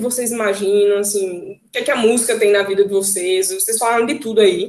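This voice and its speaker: Fairly quick speech from a woman, fairly high in pitch, with ordinary pitch variation. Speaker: occupational therapist and music therapist. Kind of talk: online talk. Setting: video call. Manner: fast.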